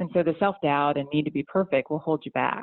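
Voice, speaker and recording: A woman talks at a very fast pace with an American accent. Her pitch is very deep and low. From US South, Atlanta area. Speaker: orthopedic surgeon. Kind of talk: interview.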